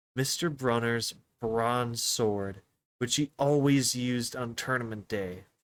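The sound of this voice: Quiet background beneath an unforced reading voice, pitch varying in an ordinary way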